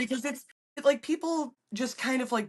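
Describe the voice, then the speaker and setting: A woman is speaking. She keeps a moderate pace. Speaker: appliance repair technician. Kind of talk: podcast interview answer.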